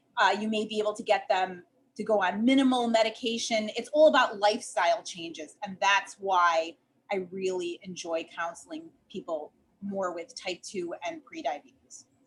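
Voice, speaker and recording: A woman with a Chicago accent speaks at a moderate pace in a medium pitch. Her intonation is lively, and her loudness swings widely. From US Midwest, Chicago. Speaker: dietitian and diabetes educator. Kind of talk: podcast interview.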